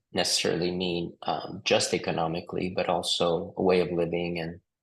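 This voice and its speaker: Against a quiet background, a man speaks in a very deep, low pitch with monotone, flat intonation at a moderate pace. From Naples, Italy (emigrated as a child in 1973). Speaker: entrepreneur. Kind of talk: interview. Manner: hesitant, many fillers.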